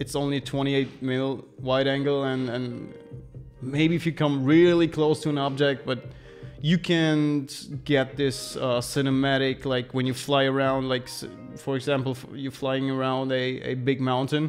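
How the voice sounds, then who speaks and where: Faint music plays in the background as a man speaks at a fairly slow pace. His intonation is monotone and flat. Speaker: livestreamer. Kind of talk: casual live stream chat. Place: home room. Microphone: studio mic.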